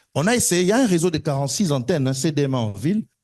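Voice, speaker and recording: Lively intonation marks a man's fairly high, somewhat breathy voice. The background is quiet. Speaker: telecom panel expert. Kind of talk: panel discussion. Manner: fast; animated.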